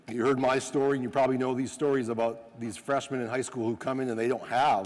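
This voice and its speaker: A man speaks at a fairly quick pace. He has a slight North Dakota accent. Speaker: sport scientist and coach educator. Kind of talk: coaching clinic talk. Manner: animated.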